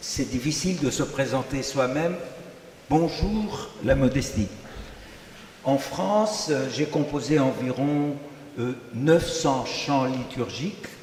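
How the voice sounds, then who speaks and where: A man with a Greek accent and fairly high pitch, very slow pace, audible room echo and noticeable background noise. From Greece. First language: Greek (speaking French). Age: 80s+. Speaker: liturgical music composer. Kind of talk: self-introduction on a panel.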